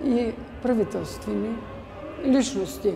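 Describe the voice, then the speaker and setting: A woman is speaking amid noticeable background noise. The room adds audible echo. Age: 80s+. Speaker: church bell ringer. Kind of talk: interview testimony. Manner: halting.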